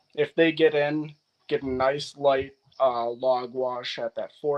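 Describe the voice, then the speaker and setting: In an American accent, a man with a plain, everyday voice speaks at a medium pitch with fairly even intonation. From US Upper Midwest, north-central Wisconsin. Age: 30s. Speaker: wood restoration contractor. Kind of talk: casual interview.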